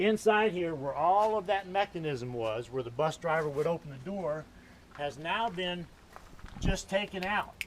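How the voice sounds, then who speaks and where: With noticeable background noise, a man speaks fairly slowly in a high voice with lively intonation. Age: 60s. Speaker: bus conversion vlogger. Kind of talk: video tour. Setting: outdoors. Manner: animated.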